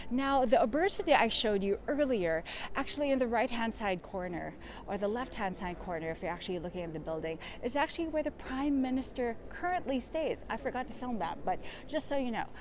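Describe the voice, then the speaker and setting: The speaker talks at a fairly quick pace with very wide pitch swings, over noticeable background noise. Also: woman, high pitch for a woman. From Philippines. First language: Tagalog. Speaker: travel vlogger / tour guide. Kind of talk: walking tour vlog. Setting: outdoors walking in city. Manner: casual, hesitant with fillers.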